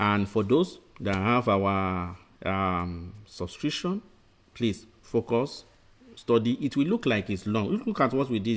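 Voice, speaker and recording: A man with a fairly low pitch talks at a fairly slow pace in an ordinary speaking voice. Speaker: medical exam tutor. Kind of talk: lecture. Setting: webinar.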